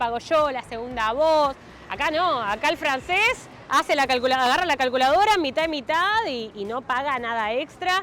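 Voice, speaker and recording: With a Rioplatense accent, a woman talks at a moderate pace with very wide pitch swings. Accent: Argentine Rioplatense Spanish. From Argentina. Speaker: interviewee, Latin American living in France. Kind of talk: street interview.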